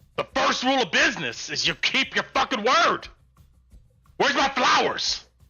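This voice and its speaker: Faint music plays in the background as a gruff, put-on character voice speaks at a moderate pace. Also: man. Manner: threatening, demanding.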